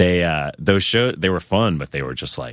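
A man is speaking. His voice has vocal fry. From US Northeast, Worcester, Massachusetts. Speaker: musician. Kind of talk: casual chat.

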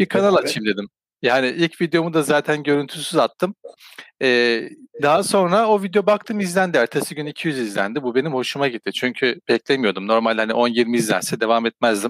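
A man talks at a fairly quick pace with a fairly high pitch and very wide pitch swings, in a dry, close sound with no echo. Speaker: crypto YouTuber. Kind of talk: casual chat. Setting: call.

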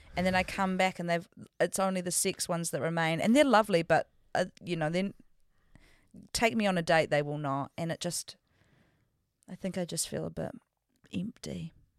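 Someone with a New Zealand accent talks at a moderate pace with long, frequent pauses, in a very clean recording with a silent background. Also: woman, fairly low pitch for a woman, ordinary pitch variation. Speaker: podcast co-host. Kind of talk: casual chat. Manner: animated.

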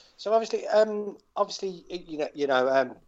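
The voice is an unremarkable speaking voice, with ordinary pitch variation at a moderate pace. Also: man. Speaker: podcast host. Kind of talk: casual chat.

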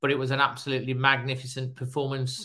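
With a bright, sharp tone, a man speaks at a medium pitch and a moderate pace. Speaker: podcast host and phone-in presenter. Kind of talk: live phone-in show, casual chat. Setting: live online show.

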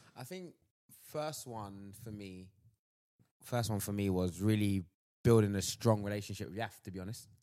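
Speaking with a London accent, a man goes at a moderate pace with ordinary pitch variation. His loudness swings widely, and he leaves long, frequent pauses. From Southeast London. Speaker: sports agency worker. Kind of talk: casual chat.

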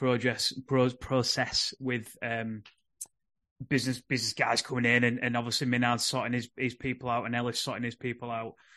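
Speaking at a fairly quick pace with a Yorkshire accent, a man talks in a medium pitch over a quiet background. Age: 30s. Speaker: rugby league podcast host. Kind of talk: casual chat.

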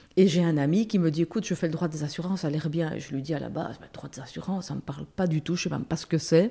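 Speaking at a very fast pace, a woman has a fairly low pitch, a dark, mellow tone and ordinary pitch variation. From Belgium, Brussels. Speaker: lawyer and substitute judge. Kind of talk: casual interview.

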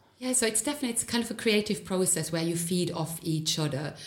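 This is a woman's voice. It sounds somewhat breathy. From Germany. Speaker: gallery creative director. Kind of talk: interview.

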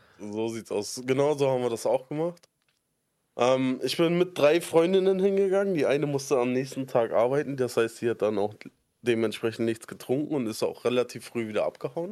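Lively in intonation, a man with a dark, mellow tone speaks at a moderate pace. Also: medium pitch for a man. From Berlin (Spandau), Germany. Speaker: podcast co-host. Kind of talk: casual chat. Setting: Discord call.

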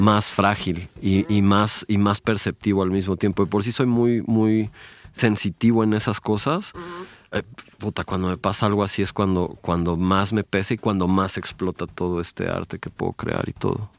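On a very clean recording with a silent background, a man with an unremarkable speaking voice talks at a fairly low pitch and a moderate pace, his intonation fairly even. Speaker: visual artist. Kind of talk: casual chat.

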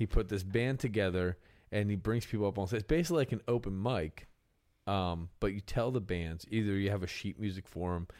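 A man with an American accent and a fairly low pitch talks at a fairly quick pace in a normal speaking voice, with ordinary pitch variation, in a very clean recording with a silent background. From Pennsylvania. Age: 30s. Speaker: country musician and podcast host. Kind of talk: casual chat.

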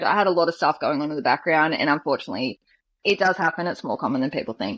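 The speaker has an Australian accent. The intonation is lively. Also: woman. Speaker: guest sharing life story. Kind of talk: personal testimony interview.

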